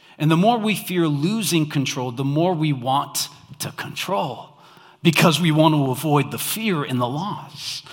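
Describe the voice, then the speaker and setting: Fairly slow speech from a man with a fairly high pitch, ordinary pitch variation and audible room echo. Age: 30s. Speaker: pastor. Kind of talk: Christmas sermon to a church congregation, conversational and call-and-response. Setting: church with live audience.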